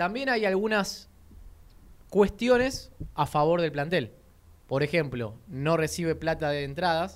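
The speech is marked by long, frequent pauses. Its intonation is lively. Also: man, high pitch for a man, fairly slow pace. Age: 30s. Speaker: football radio host. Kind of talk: sports radio talk show. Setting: radio studio.

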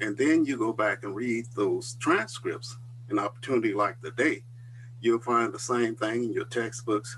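The speaker has an American accent and a moderate pace. Noticeable background noise is present. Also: man, medium pitch for a man. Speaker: religious school dean. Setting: video call.

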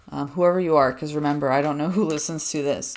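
Amid noticeable background noise, a woman speaks with a very deep, low pitch. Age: 20s. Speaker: podcast host, counseling trainee. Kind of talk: casual solo monologue. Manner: fast, chatty.

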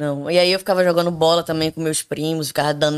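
Talking at a very fast pace, this woman has a very deep, low-pitched voice. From Brazil, Recife (Pernambuco). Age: 30s. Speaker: podcast guest. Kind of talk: casual chat. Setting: home bathroom studio.

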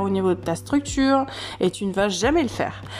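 A woman is speaking. Her voice sits fairly high in pitch. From southern France, Camargue. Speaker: podcast host and life coach. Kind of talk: unscripted solo podcast monologue. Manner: hesitant, many fillers and repetitions.

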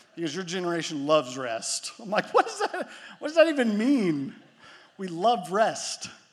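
This man's voice sits high in pitch and moves through very wide pitch swings. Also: moderate pace. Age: 30s. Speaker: pastor. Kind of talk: sermon.

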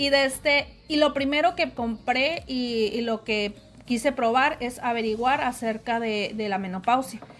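Her voice is high in pitch. The woman talks at a fairly slow pace with fairly even intonation. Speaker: secondary school arts teacher. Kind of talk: interview testimony. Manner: halting, many fillers and repetitions.

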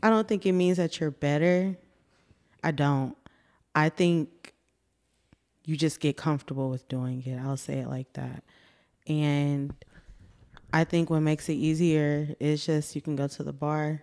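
Against a quiet background, a woman with an American accent speaks fairly slowly at a very deep, low pitch in a dark, mellow tone, her intonation fairly even and broken by long, frequent pauses. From Austin, Texas. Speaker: podcast guest, recent graduate. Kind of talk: casual chat.

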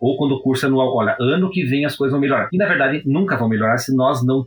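Noticeable background noise sits behind a man's voice. He speaks at medium pitch and a very fast pace. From Brazil, interior of Paraná (Prudentópolis). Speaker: law professor and painter. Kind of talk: interview. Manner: formal.

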